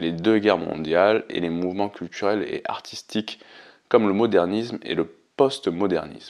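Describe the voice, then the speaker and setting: Over a quiet background, a man with a normal speaking voice talks at a moderate pace in a fairly low pitch with ordinary pitch variation. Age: 30s. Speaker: podcast host. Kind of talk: solo podcast monologue. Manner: reads prepared text.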